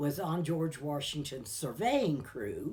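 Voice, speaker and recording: A woman with a West Virginia accent, very deep, low pitch, a dark, mellow tone, and a very slow pace. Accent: Appalachian West Virginia. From US Appalachia, Greenbrier County, West Virginia. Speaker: local elder sharing memories. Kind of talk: oral history interview. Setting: living room at home.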